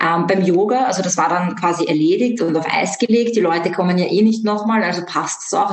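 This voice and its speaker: Audible room echo surrounds a woman speaking at a fairly quick pace in a medium pitch with ordinary pitch variation. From Austria, Vienna. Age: 20s. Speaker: yoga teacher and animal communicator. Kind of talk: interview.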